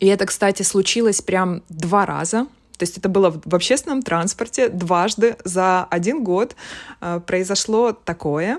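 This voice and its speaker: A woman with a plain, everyday voice speaks at medium pitch with ordinary pitch variation. The recording is very clean, with a silent background. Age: 30s. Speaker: art director. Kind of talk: casual chat.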